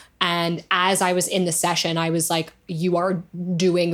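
A woman speaks at a fairly low pitch. Her intonation is monotone and flat. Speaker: singer-songwriter. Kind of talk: casual chat. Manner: fast.

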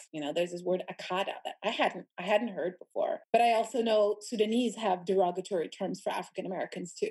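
A woman's medium-pitched voice with ordinary pitch variation, a normal speaking voice. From Sudan and US (grew up in both). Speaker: journalist. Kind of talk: casual interview chat.

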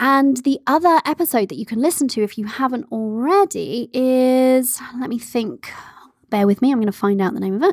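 A woman's high-pitched, animated voice with lively intonation at a moderate pace, dry and close with no echo. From England (moved from Canada at age five). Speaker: podcast host, business coach. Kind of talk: casual Q&A monologue. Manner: animated, laughs often.

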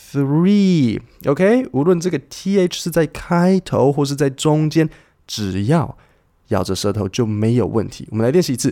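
A man with a fairly high pitch and a dark, mellow tone speaks at a fairly slow pace in a relaxed tone, his pitch swinging very widely. The recording is very clean, with a silent background. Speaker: English teacher podcast host. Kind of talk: tutorial. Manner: relaxed, conversational.

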